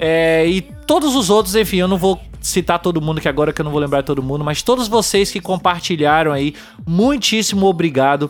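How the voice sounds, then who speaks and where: The speaker goes at a fairly quick pace with music playing in the background. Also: man, high pitch for a man, ordinary pitch variation. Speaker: podcast host. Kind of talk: casual chat.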